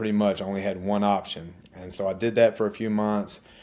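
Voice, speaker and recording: Fairly quick and fairly low-pitched, a man with an Alabama accent speaks in a dark, mellow tone. His intonation is monotone and flat, on a very clean recording with a silent background. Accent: Southern US (Alabama). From US South, central Alabama (Chilton County). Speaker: army veteran and realtor. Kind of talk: interview.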